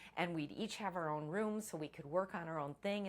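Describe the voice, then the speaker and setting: A plain, everyday voice from a woman, pitched fairly low, with ordinary pitch variation. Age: 60s. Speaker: first-time author. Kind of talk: casual talk to camera.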